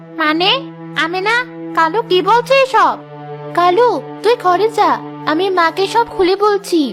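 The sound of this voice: A woman's cartoonish character voice at an extremely high pitch and fairly slow pace, with clear music in the background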